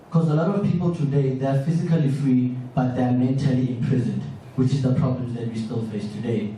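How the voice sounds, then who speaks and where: A man at a fairly quick pace with ordinary pitch variation, amid noticeable background noise and audible room echo. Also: medium pitch for a man. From South Africa. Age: 20s. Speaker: audience member asking a question. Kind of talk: public Q&A comment.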